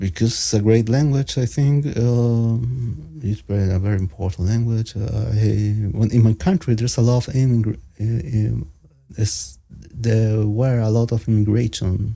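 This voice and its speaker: Somewhat breathy, with a dark, mellow tone, a man with a Spanish accent speaks at a moderate pace and medium pitch with ordinary pitch variation. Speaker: panel participant. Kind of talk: casual chat. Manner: halting.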